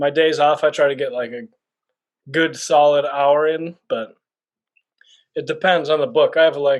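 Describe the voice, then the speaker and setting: A man's fairly high-pitched mumbling at a moderate pace, with fairly even intonation and long, frequent pauses. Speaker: bookstagrammer. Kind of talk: casual chat.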